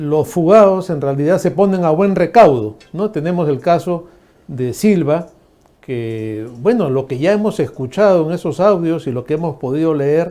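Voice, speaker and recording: Through noticeable background noise, a man with a fairly high pitch speaks with lively intonation. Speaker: TV news host. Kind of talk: political interview.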